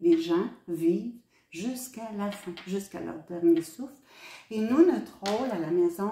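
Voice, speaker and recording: A woman with a dark, mellow tone and medium pitch speaks with lively intonation and big swings in loudness. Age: 70s. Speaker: hospice volunteer. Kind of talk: testimony. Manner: hesitant, with frequent fillers.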